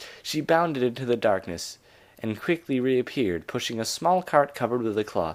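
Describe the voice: Reading aloud, plain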